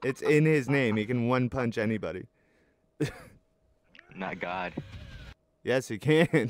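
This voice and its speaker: A man at a very slow pace, lively intonation, dry sound with no echo. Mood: joking, laughing argument.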